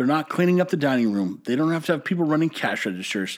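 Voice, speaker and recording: A man's animated tone in a Texan accent, very wide pitch swings, and a very clean recording with a silent background. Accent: Texan American English. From Texas. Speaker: podcast host and brewery owner. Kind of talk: casual monologue.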